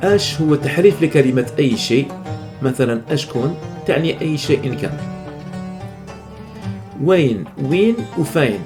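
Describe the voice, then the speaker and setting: With music playing in the background, a man with a fairly high voice speaks very slowly, using lively intonation and long, frequent pauses. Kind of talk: educational narration on dialect vocabulary.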